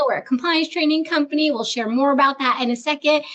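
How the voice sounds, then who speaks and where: The speaker has an animated tone and ordinary pitch variation, with noticeable background noise. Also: woman. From grew up bilingual. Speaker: HR executive and webinar host. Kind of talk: webinar conversation.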